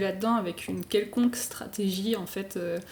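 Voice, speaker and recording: The speaker is a woman with ordinary pitch variation. Noticeable background noise runs underneath. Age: 20s. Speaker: illustrator and motion designer. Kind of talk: podcast interview. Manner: casual, many fillers.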